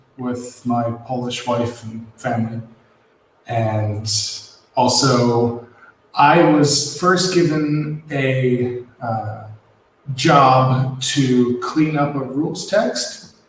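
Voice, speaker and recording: The speech comes at a very slow pace, with ordinary pitch variation. Audible room echo is present. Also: man. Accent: American. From US Midwest, Ohio. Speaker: board game rules editor. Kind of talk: casual chat.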